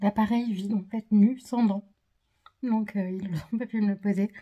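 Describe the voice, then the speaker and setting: A woman speaks at medium pitch and a moderate pace with fairly even intonation. Her voice is somewhat breathy, with a dark, mellow tone. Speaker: vlogger. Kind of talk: vlog. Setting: at home. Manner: hesitant, many filler sounds.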